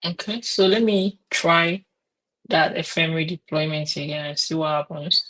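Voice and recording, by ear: The tone is fairly bright, with ordinary pitch variation. The pace is slow.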